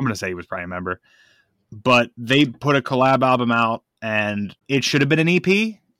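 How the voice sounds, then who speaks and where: With a bright, sharp tone and lively intonation, a man speaks at a medium pitch and a fairly quick pace in a dry, close sound with no echo. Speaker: podcast host. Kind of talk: casual chat. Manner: loud.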